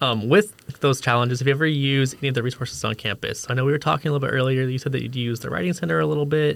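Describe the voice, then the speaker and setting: At a very fast pace, a man speaks with an American accent and hardly any pauses. His pitch sits in the medium range with ordinary variation. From US, Idaho. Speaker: podcast co-host, university admissions staff. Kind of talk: casual interview.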